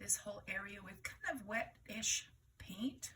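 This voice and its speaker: A woman's fairly high, bright and sharp voice at a fairly slow pace. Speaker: watercolour art teacher. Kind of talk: painting tutorial demonstration. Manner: casual, chatty.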